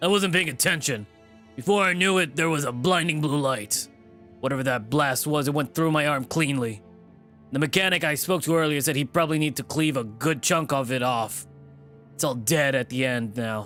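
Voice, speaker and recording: A man puts on a raspy character voice, fairly high in pitch. Faint music plays in the background. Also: moderate pace. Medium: game stream. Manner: gruff, profane, curt.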